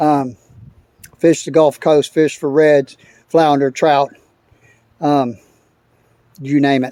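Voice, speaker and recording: A man's relaxed, fairly high voice with a Texan accent, very slow and monotone, with long, frequent pauses. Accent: Texan Southern US. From US South, Texas (San Antonio). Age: 60s. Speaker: fishing video maker. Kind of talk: casual tutorial walkthrough. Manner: relaxed, hesitant with many fillers.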